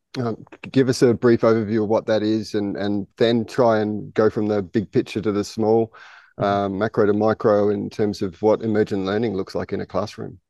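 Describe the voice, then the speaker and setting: At a fairly quick pace, the voice has a dark, mellow tone and monotone, flat intonation in a dry, close sound with no echo. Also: man, fairly low pitch for a man, quiet background. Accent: Australian. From Australia. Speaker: podcast host, school head of teaching. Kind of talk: casual interview. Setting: outdoors on a jungle school campus.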